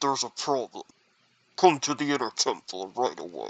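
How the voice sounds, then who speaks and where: A man's put-on character voice at a moderate pace. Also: fairly high pitch for a man. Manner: disguised, urgent.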